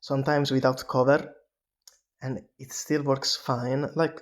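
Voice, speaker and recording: Medium-pitched male speech at a moderate pace with fairly even intonation. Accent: non-native. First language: not English. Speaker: vlogger. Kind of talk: casual monologue. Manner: halting, many fillers.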